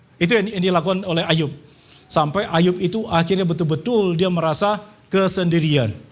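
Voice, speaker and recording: A man's high-pitched voice at a fairly quick pace, with ordinary pitch variation and very even loudness, plus audible room echo and noticeable background noise. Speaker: preacher. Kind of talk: sermon. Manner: soft-spoken.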